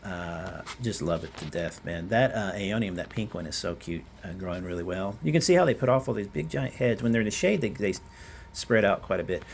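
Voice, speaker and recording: A man speaks at a fairly quick pace with a fairly low pitch. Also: ordinary pitch variation. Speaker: gardening vlogger. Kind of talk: casual garden tour. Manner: fast; hesitant, many fillers.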